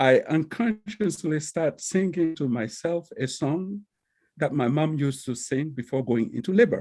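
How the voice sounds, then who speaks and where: With a Togolese accent, a man speaks at a moderate pace in a dark, mellow tone, his pitch fairly high and his intonation lively. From Togo, West Africa. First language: Kabye. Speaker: librarian and professor. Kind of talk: personal presentation. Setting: video call. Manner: halting, with many fillers.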